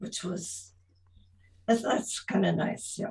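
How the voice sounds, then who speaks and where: There is vocal fry in this woman's voice. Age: 80s+. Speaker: retired teacher. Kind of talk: interview. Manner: halting.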